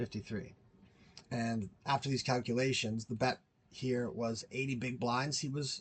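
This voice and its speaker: Somewhat breathy speech comes at a moderate pace over a quiet background. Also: man. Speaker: poker player and video creator. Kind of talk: tutorial. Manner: halting.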